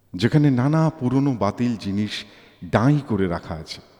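The clip is plain reading aloud.

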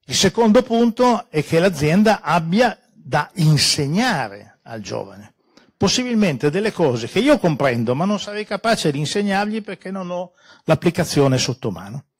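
A man with a high pitch talks at a moderate pace, his pitch swinging very widely. His loudness also swings a lot, over a quiet background. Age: 70s. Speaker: economics professor. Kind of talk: panel talk. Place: hall. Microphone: handheld.

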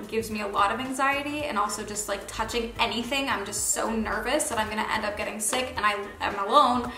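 A woman at a very fast pace with hardly any pauses and ordinary pitch variation, amid audible room echo and faint music in the background. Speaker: vlogger. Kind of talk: casual vlog chat. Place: home room.

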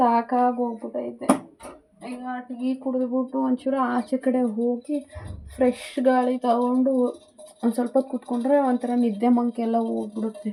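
A woman speaks in a high pitch with monotone, flat intonation. Noticeable background noise runs underneath. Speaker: family vlogger. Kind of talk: vlog narration.

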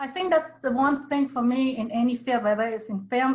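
In an unremarkable speaking voice, a woman talks with fairly high pitch and ordinary pitch variation. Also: quiet background. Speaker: documentary producer and anthropologist. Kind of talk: panel discussion. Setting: video call. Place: home room. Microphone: video call.

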